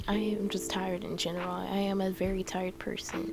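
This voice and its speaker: Soft-spoken delivery over music in the background. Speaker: gaming YouTuber. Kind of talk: game build voice-over. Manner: soft-spoken, talking quietly; halting, many fillers.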